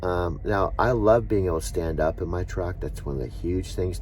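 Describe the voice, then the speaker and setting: A man speaks with lively intonation. Echo from the room is audible. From San Diego, California. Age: 60s. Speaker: truck driver and vlogger. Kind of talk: casual vlog monologue. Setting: truck stop, in his truck. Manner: rambling, hesitant with fillers.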